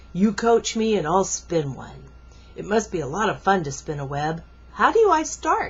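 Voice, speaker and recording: Someone does a put-on character voice at a middle pitch and moderate pace, with light background noise. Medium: read story.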